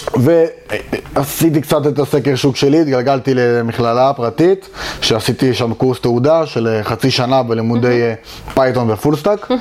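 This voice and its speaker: Noticeable background noise sits behind a man speaking at a fairly slow pace. His medium pitch varies in an ordinary way, and his loudness stays very even. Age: 20s. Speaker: junior full stack developer. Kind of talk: interview. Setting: company offices.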